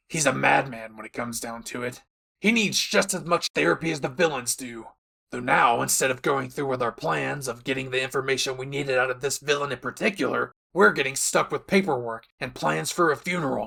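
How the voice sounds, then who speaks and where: A man's raspy, put-on character voice at a medium pitch, fairly quick pace and lively intonation. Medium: audio drama. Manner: aggressive, profane, barking.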